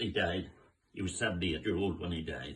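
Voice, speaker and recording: With a very deep, low pitch and fairly even intonation, a man speaks at a very fast pace. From Northern Ireland, Belfast. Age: 90s. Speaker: war-time eyewitness. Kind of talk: oral history testimony. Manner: halting, with repetitions.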